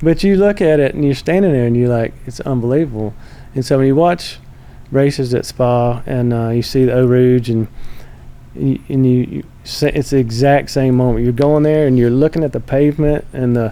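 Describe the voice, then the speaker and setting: At a moderate pace, a man speaks in a Southern accent with a medium pitch, ordinary pitch variation and a dark, mellow tone. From US South, North Carolina. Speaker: motorsports executive. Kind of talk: casual chat.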